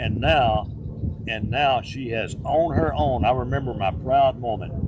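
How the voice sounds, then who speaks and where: A man's medium-pitched voice at a fairly slow pace, with audible room echo and noticeable background noise. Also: lively intonation. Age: 70s. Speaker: country radio DJ and police officer. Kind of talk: casual interview chat. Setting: farm.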